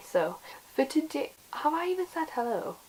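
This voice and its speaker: The woman has a British accent. Noticeable noise sits in the background. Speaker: fashion YouTuber and personal stylist. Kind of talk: casual vlog talk. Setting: filming at home. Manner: quiet.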